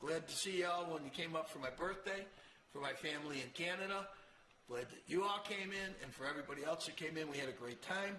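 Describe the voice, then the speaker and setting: A man's high-pitched voice with an upstate New York accent, ordinary pitch variation and a very fast pace, plus audible room echo and noticeable background noise. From Rochester, New York. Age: 80s. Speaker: motorcycle show host. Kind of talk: casual monologue to camera.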